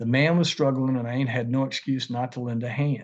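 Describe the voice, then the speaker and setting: Someone with an Appalachian accent talks at a fairly quick pace against a quiet background. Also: man. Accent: Southern Appalachian American. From Tazewell, Virginia. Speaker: author and lawyer. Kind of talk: reading from his novel.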